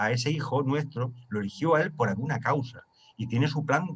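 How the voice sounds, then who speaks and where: A man talks fairly quickly at a fairly high pitch in a plain, everyday voice. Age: 60s. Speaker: study group leader. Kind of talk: group discussion.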